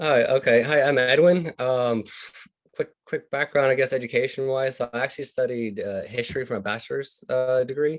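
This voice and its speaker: A man uses a normal speaking voice, keeping a medium pitch, a moderate pace and fairly even intonation. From US South, Louisiana. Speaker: doctoral student and alumnus. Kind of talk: panel discussion.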